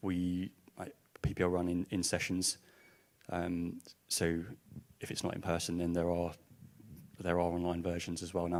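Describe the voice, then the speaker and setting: This man mumbles in an Essex accent at a moderate pace. His pitch is very deep and low, and his intonation stays monotone and flat. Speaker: music industry organisation representative. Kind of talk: panel discussion. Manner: mumbling.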